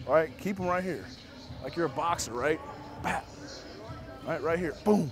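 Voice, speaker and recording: Over clear music in the background, a man talks at a moderate pace in a dry sound with no echo. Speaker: football coach. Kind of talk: coaching instructions. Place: hall. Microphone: lapel.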